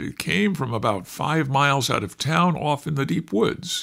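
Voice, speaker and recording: Putting on a character voice, a man speaks at a moderate pace with fairly high pitch. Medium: read story.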